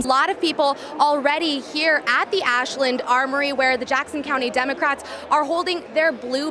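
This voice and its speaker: Over noticeable background noise, a woman uses a raised, projected voice with high pitch, ordinary pitch variation and a moderate pace. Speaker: TV news reporter and anchor. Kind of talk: TV news live stand-up report.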